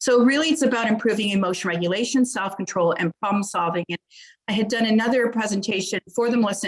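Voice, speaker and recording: In a dry, close sound with no echo, a woman speaks at a very fast pace. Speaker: psychologist and program developer. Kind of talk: conference presentation.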